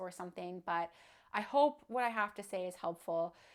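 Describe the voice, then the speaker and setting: Her pace is moderate and her pitch medium. The woman talks in a plain, everyday voice. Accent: Canadian. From Canada, southwestern Ontario. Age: 20s. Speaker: vlogger sharing illness story. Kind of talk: personal testimony vlog.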